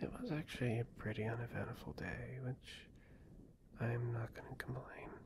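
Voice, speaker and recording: The voice whispers at a moderate pace. Its tone is gentle. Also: man. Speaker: ASMR creator. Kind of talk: ASMR girlfriend roleplay, soft talk to listener. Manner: soft-spoken, gentle, caring, rambling. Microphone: studio mic.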